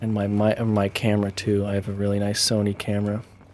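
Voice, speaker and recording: A man talks at a fairly quick pace in a fairly low pitch. His tone is relaxed. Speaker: gaming live streamer. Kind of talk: casual live-stream gameplay chat. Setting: live stream at night from home. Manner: soft-spoken, not loud; relaxed, chill. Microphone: good streaming mic, clear sound.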